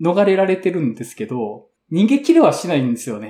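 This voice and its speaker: This man's voice is high in pitch with a dark, mellow tone. He speaks at a fairly quick pace with very wide pitch swings. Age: 30s. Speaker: podcast host, café bar event organizer. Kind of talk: casual chat.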